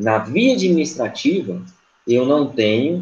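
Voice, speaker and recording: The delivery unfolds at a fairly slow pace. Its pitch swings are very wide. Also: man. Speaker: law professor. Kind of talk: lecture.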